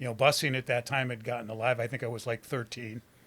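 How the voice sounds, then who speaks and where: The recording is very clean, with a silent background. A man with an American accent talks at medium pitch in a bright, sharp tone. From Detroit, US Midwest. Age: 70s. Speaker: recovering addict telling life story. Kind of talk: interview testimony.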